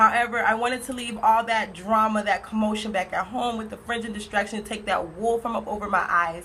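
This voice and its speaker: An American accent marks this woman's speech. Her pitch is medium and her pace fairly quick. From Pompano Beach, Florida. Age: 20s. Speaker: college student. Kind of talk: class speech. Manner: fast.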